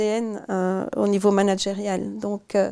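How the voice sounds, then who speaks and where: A woman with a Belgian accent speaks at a fairly high pitch in a dark, mellow tone. Her intonation is fairly even, and the recording is very clean with a silent background. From Belgium. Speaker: management consultant. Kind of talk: interview. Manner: halting, many repetitions.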